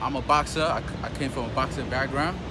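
A man speaks fairly quickly while music plays in the background. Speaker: fitness trainer. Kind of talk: tutorial. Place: street.

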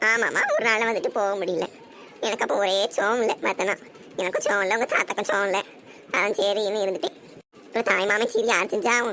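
In a cartoonish character voice, a woman talks at a moderate pace and medium pitch, with fairly even intonation and very even loudness over clear background noise. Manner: chatty, homely.

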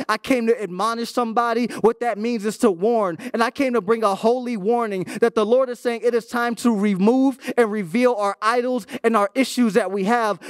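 Moderate pace, fairly even intonation and hardly any pauses, in a dry sound with no echo over a quiet background. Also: man, extremely high pitch for a man. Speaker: guest youth preacher. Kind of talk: sermon. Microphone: handheld.

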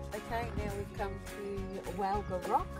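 A dry sound with no echo, loud music in the background. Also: woman. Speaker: travel vlogger. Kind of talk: casual vlog chat. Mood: cheerful, excited. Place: open country.

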